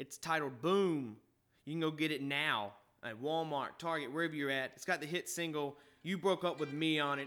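Bright and sharp in tone, a man's fairly high voice comes through with a Southern US accent. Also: ordinary pitch variation, moderate pace, very clean recording, silent background. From Mississippi, US South. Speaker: podcast host. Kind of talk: casual chat.

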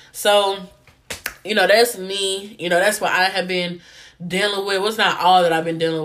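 A woman talks in an animated tone, with noticeable noise behind her. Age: 20s. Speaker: podcast host; college student. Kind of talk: casual monologue.

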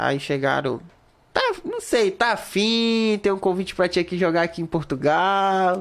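This man's voice is high in pitch, with ordinary variation. He speaks at a fairly slow pace. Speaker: podcast host. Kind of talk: casual chat. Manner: animated.

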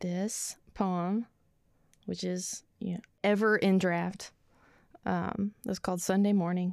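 A woman with an Arkansas accent speaks at a very slow pace with a medium pitch, monotone, flat intonation, and long, frequent pauses. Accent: Arkansas Southern. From Arkansas, rural Ozarks (Calico Rock area). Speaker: poet. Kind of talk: casual interview chat; poetry reading. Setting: studio.

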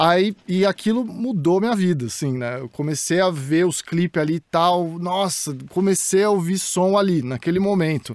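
A man speaks with a high pitch and hardly any pauses. The sound is dry and close, with no echo. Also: ordinary pitch variation, moderate pace. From Santos, São Paulo state, Brazil. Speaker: YouTuber, pop culture commentator. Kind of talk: casual chat. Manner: halting.

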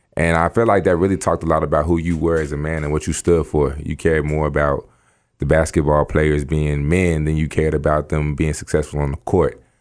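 The delivery is monotone with flat intonation and moves at a fairly quick pace. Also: man, very deep, low pitch for a man. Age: young. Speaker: podcast host and basketball player. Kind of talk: casual chat.

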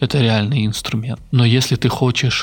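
A man with an unremarkable speaking voice, pitched in the middle range, delivers his words at a moderate pace and with fairly even intonation. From central Russia. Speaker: podcaster. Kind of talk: personal monologue. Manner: reflective.

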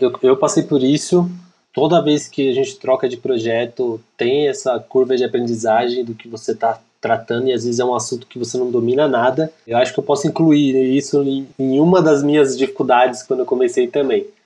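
This man talks at a fairly quick pace, with hardly any pauses. His medium-pitched voice is dark and mellow, with ordinary pitch variation. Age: young. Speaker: lead designer and moderator. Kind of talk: casual chat.

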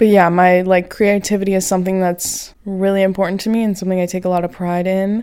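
A woman's dark, mellow voice at medium pitch, very fast and with hardly any pauses. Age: 20s. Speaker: podcast host. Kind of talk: casual chat. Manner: animated.

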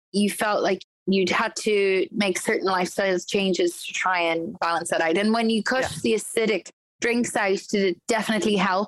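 A woman has a normal speaking voice at a medium pitch. She keeps a moderate pace and fairly even intonation. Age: 30s. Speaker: podcast co-host. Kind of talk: casual chat.

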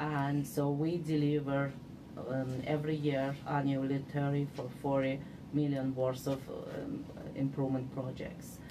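With an Uzbek accent and a very deep, low pitch, a woman talks at a fairly slow pace in a monotone, flat way over noticeable background noise. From Uzbekistan. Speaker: civil engineer, city manager. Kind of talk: interview. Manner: halting.

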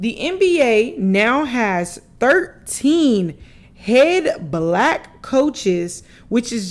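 Her pitch swinging very widely, a woman talks in an animated tone. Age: 20s. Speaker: sports podcast host. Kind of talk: solo sports commentary podcast.

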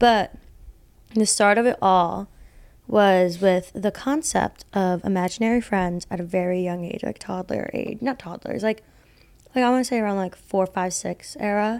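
A woman with a plain, everyday voice, medium pitch, ordinary pitch variation, and a moderate pace, on a very clean recording with a silent background. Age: 20s. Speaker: podcast co-host. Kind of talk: casual chat.

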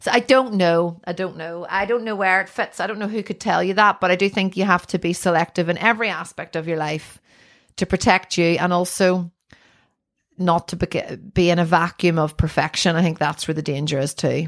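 A woman with a Northern Irish accent, fairly low in pitch, at a fairly quick pace with ordinary pitch variation, on a very clean recording with a silent background. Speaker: artist. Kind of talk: casual chat. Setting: her art studio.

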